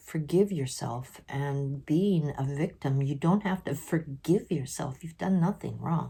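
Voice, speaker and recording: The voice is somewhat breathy with a dark, mellow tone, moving at a fairly slow pace with ordinary pitch variation. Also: woman, very deep, low pitch for a woman, hardly any pauses. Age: 60s. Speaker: vlogger sharing mental health experiences. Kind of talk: personal vlog monologue.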